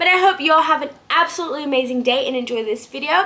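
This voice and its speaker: Over noticeable background noise, the woman's voice is raised and projected. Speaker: vlogger. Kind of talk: casual chat. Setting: at home. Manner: fast.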